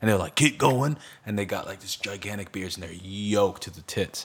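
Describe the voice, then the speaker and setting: With an American accent, a man with an ordinary speaking voice talks at a fairly quick pace and fairly low pitch, with lively intonation. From New York. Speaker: podcast co-host. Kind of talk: casual chat.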